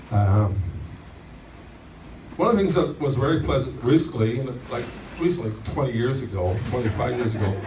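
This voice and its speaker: A man at a medium pitch with lively intonation, a moderate pace and long, frequent pauses, amid noticeable background noise and audible room echo. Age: 70s. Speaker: birthday celebrant. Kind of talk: birthday speech. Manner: halting, repeating words.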